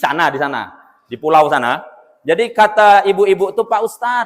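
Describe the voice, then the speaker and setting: A man with a high pitch speaks in an animated tone at a moderate pace. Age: 30s. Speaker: Islamic preacher. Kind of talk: sermon.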